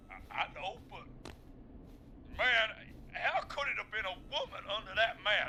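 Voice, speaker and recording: Putting on a character voice at an extremely high pitch, a man drawls at a fairly slow pace with long, frequent pauses over clear background noise. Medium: video game. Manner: drawling, says man a lot.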